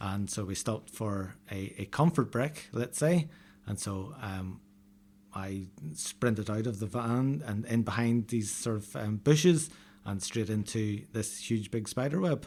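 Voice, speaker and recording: Lively intonation marks this fairly slow delivery in an Irish accent. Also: man, fairly low pitch for a man. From Northern Ireland, north coast countryside. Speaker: novelist. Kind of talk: interview. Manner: hesitant, many fillers.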